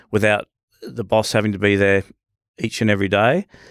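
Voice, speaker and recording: A man with an Australian accent speaks at a fairly low pitch in a monotone, flat way, in a dry, close sound with no echo and a very clean recording with a silent background. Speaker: business owner. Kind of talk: casual chat. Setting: studio.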